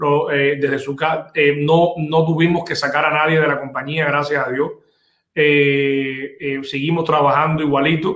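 A man's fairly high pitch, monotone, flat intonation and fairly slow pace. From Cuba. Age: 40s. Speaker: insurance business owner. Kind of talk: interview. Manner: halting, many repetitions.

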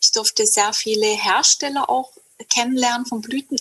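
A woman with an ordinary speaking voice talks at a moderate pace with fairly even intonation. The sound is dry and close, with no echo. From southern Germany, Hegau (Lake Constance area). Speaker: herbalist and women's circle leader. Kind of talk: casual interview.

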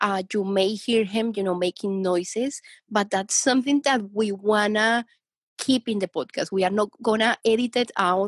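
A woman with a Spanish accent, medium-pitched, at a moderate pace, in a dry, close sound with no echo against a quiet background. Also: ordinary pitch variation. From Colombia, Bogota. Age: young. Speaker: dog owner. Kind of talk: casual chat.

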